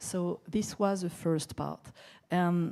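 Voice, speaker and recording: In a very clean recording with a silent background, a woman with a French accent and a dark, mellow tone speaks at a very slow pace. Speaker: security expert, conference panelist. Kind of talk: panel discussion.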